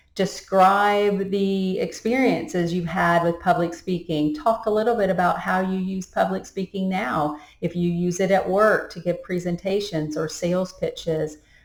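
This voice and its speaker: With hardly any pauses, a woman speaks with ordinary pitch variation in audible room echo. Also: medium pitch for a woman, moderate pace. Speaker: public speaking instructor. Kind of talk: recorded course lecture. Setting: recorded video to camera. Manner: energetic, jumps between topics.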